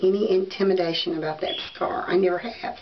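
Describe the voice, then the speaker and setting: A woman with a Southern US accent speaks at a medium pitch with lively intonation, over noticeable background noise and audible room echo. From US South. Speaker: beauty and wig vlogger. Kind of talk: casual vlog talk to camera. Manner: hesitant, many fillers.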